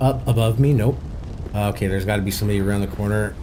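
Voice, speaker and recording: Amid noticeable background noise and audible room echo, a man with an American accent speaks at a fairly low pitch with lively intonation. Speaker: game streamer. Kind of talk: live gameplay commentary.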